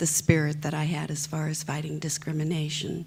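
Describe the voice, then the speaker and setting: A woman speaks in a somewhat breathy voice with a very deep, low pitch. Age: 70s. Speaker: former flight attendant, plaintiff. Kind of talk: panel talk, personal story.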